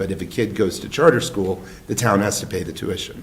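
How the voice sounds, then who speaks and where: Through audible room echo and noticeable background noise, a man speaks with a fairly low pitch. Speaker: select board chair. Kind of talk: town board meeting discussion.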